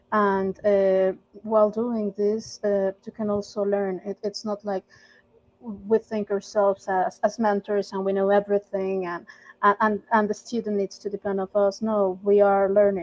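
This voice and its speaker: In a Spanish accent, a woman with a medium pitch speaks fairly slowly in a monotone, flat way, with a dry, close sound with no echo. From Mexico. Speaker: volunteer language mentor. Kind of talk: casual group discussion. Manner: hesitant, many fillers and repeats.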